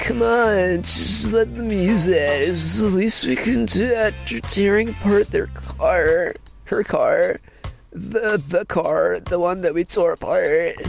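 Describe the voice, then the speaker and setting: A man puts on a character voice at a fairly slow pace. Clear music runs in the background. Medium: read story. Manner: laid-back, mild.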